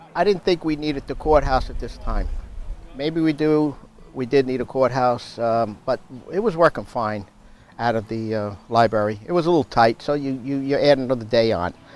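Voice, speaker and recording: Speaking with a New York accent, a man uses a medium pitch with ordinary pitch variation. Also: moderate pace. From New York (Westchester). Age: 60s. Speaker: local town politician. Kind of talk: interview. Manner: halting.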